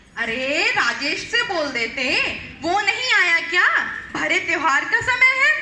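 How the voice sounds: A woman's put-on character voice, extremely high, bright and sharp, with lively intonation at a fairly slow pace amid audible room echo.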